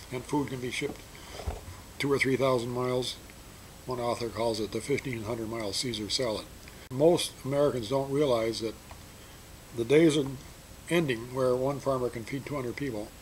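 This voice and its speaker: Amid noticeable background noise, a man with a medium pitch talks at a fairly quick pace, with long, frequent pauses. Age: 70s. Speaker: energy educator and author. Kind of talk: explanatory talk to students.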